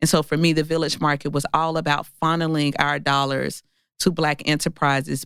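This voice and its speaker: The speech moves at a moderate pace. It carries a Mississippi accent. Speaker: entrepreneur and author. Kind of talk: interview.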